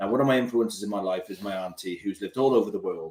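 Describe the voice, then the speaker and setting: With a Cardiff accent, a man speaks at a medium pitch with ordinary pitch variation. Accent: Welsh (Cardiff). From Wales, Cardiff. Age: 40s. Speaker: police community support officer, travel vlogger. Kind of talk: casual live stream Q&A chat.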